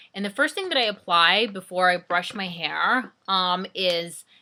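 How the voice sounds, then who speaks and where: Bright and sharp, a woman's voice comes through on a very clean recording with a silent background. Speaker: beauty vlogger. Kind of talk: tutorial. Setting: in front of camera at home. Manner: casual, filler-heavy.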